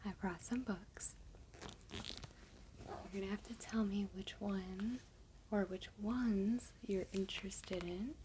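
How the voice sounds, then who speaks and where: Soft-spoken speech moves at a very slow pace with long, frequent pauses. There is noticeable background noise. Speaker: ASMR creator. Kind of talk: role play talk to the listener.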